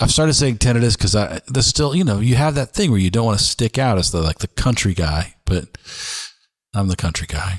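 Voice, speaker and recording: A man speaks with a Southern US accent at a medium pitch, somewhat breathy, at a fairly quick pace with lively intonation and very even loudness. The sound is dry and close with no echo, on a very clean recording with a silent background. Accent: Southern country. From the South.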